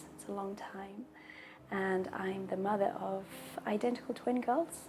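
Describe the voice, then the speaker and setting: Over noticeable background noise, a woman speaks fairly slowly at a medium pitch, with ordinary pitch variation and big swings in loudness. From Brazil and England, mixed. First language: Portuguese. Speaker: patient sharing her fertility story. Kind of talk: personal testimony. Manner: pauses for breath between sentences.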